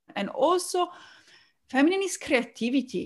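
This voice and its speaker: A woman's Italian-accented speech at a fairly slow pace with lively intonation. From Italy.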